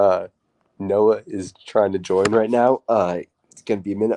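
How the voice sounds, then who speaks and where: In a dark, mellow tone, a man talks at a moderate pace and fairly low pitch with fairly even intonation, the sound dry and close with no echo. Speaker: sports podcast host. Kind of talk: casual chat. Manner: hesitant, filler-heavy.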